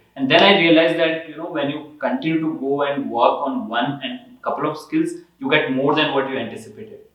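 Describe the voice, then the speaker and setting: A man with a fairly high pitch speaks at a fairly quick pace, with ordinary pitch variation. Room echo is audible. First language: not English. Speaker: toastmasters member sharing experience. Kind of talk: casual group discussion. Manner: halting, with fillers.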